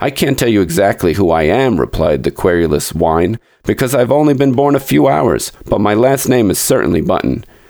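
Putting on a whiny character voice, a man with a fairly low pitch talks at a fairly quick pace in a whiny tone with very wide pitch swings. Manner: querulous, whiny.

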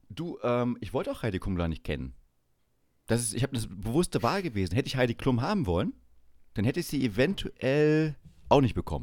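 A man with vocal fry at a fairly quick pace, very wide pitch swings and long, frequent pauses, on a very clean recording with a silent background. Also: medium pitch for a man. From eastern Germany, Saxony-Anhalt. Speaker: podcast host. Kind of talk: casual chat.

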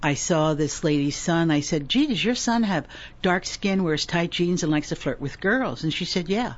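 A normal speaking voice from a woman, fairly low in pitch, with lively intonation, very even loudness and a moderate pace. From US Northeast. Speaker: retired career coach and intuitive healer. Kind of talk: casual interview.

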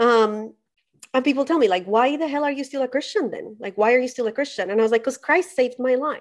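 A woman's high-pitched voice at a very fast pace, with ordinary pitch variation. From Colombia. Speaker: progressive theologian. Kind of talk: podcast interview.

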